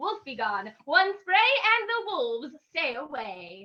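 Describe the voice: Her tone bright and sharp, a woman speaks slowly with big pitch swings.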